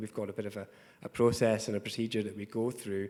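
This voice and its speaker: In a Scottish accent, a man speaks at a fairly low pitch. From Scotland. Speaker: tech company executive. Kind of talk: panel discussion. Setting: conference panel in a hotel.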